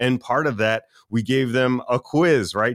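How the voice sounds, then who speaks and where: Recorded very cleanly with a silent background and a dry, close sound with no echo, a man speaks at a medium pitch with ordinary pitch variation. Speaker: podcast host. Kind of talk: casual interview chat. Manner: upbeat, enthusiastic.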